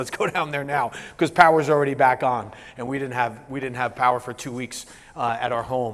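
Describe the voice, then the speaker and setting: A man with an American accent, fairly high-pitched and talking at a very fast pace. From New Jersey. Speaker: business coach and keynote speaker. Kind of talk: keynote presentation. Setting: stage with live audience. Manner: moderate, even delivery; casual, halting with many fillers.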